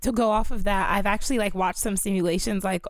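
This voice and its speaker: A woman with an American accent speaks fairly quickly in an ordinary speaking voice at a medium pitch. The recording is very clean, with a silent background. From Maryland. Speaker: pre-health college student. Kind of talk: casual chat.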